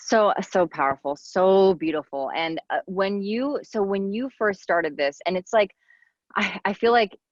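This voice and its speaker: At a fairly slow pace, a woman with an unremarkable speaking voice talks at a medium pitch with lively intonation. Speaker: podcast host. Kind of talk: interview question.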